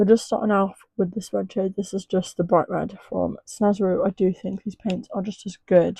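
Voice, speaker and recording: A woman's medium-pitched, somewhat breathy voice in a dark, mellow tone, at a moderate pace with fairly even intonation, dry and close with no echo against a quiet background. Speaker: makeup artist. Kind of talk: makeup tutorial. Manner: casual, chatty.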